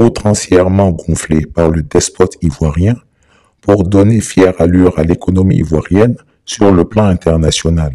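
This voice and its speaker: His very deep, low voice dark and mellow in tone, a man speaks at a fairly slow pace with ordinary pitch variation and very even loudness. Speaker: political commentator. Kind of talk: scripted narration. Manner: formal.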